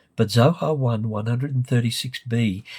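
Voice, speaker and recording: This man's voice sits at a medium pitch and is somewhat breathy, on a very clean recording with a silent background. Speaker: literature lecturer. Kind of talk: lecture.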